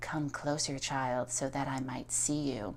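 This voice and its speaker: A put-on character voice, soft-spoken at a low-to-middle pitch, moves at a fairly slow pace. Background noise is clear. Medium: read story. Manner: soft, coaxing.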